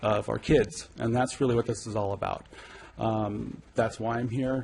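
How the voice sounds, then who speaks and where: Noticeable background noise sits behind a man with an American accent. His intonation is monotone and flat. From California. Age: 40s. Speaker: public commenter. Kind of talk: public comment. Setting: city council meeting. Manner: hesitant, many fillers. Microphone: too far from the mic.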